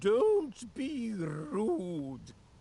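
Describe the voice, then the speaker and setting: In a put-on character voice, a female-sounding speaker uses a fairly high pitch with very wide pitch swings. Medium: video game.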